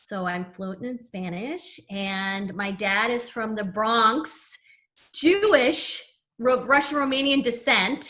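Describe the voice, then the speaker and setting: Speaking at a very slow pace with an American accent, a woman uses lively intonation, a fairly high pitch and a bright, sharp tone. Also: big swings in loudness. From US West Coast, San Diego. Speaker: personal branding coach. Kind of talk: podcast interview.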